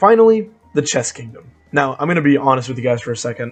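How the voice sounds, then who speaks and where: A man speaks with music playing in the background. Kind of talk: video game lore narration. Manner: casual, conversational.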